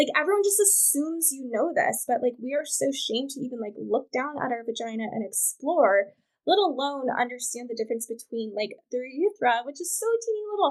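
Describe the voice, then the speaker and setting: A woman's high-pitched voice with an American accent, lively intonation, and a fairly quick pace. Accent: country, sometimes taken for Southern. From Wyoming, US. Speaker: reproductive rights activist. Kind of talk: casual chat.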